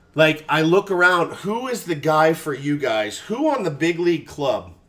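A man's normal speaking voice, fairly high-pitched, with lively intonation and a very clean recording against a silent background. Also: big swings in loudness. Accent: American. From Texas. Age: 40s. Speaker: sports radio host. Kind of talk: casual chat.

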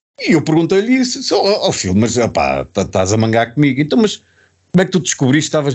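Talking at a fairly quick pace with a European Portuguese accent, a man uses a fairly high pitch, vocal fry, very wide pitch swings and very even loudness. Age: 50s.

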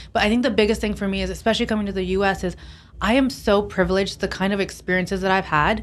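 Speaking very fast in an American accent, a woman with a medium pitch and vocal fry keeps her intonation fairly even, with audible room echo around her. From Pakistan, American boarding school. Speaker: tech company founder and CEO. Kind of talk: casual interview. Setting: on location at a conference.

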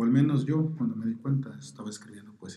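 A man's somewhat breathy voice, medium in pitch, with a dark, mellow tone and a very fast pace. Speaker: poet. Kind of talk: interview through an interpreter. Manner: halting, many fillers.

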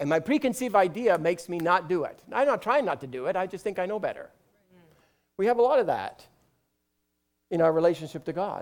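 On a very clean recording with a silent background, a man talks at a very fast pace in a high, animated voice with lively intonation and long, frequent pauses. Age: 50s. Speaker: pastor. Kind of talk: sermon.

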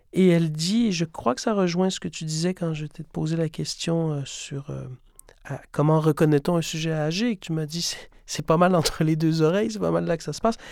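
In a normal speaking voice, a man speaks at a moderate pace and fairly high pitch, with ordinary pitch variation and big swings in loudness. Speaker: podcast host, theatre director. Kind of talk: scripted introduction; interview conversation. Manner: formal.

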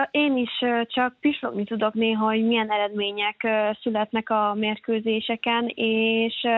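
A woman with a fairly high pitch and fairly even intonation. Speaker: handball player. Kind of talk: interview. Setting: phone call. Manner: hesitant, filler sounds.

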